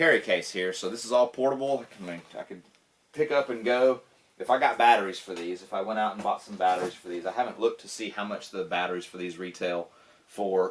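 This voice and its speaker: A man with a Southern US accent talks at a fairly quick pace, using ordinary pitch variation. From US South. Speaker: tech YouTuber. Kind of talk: unboxing video. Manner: casual, filler-heavy. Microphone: camera's built-in mic.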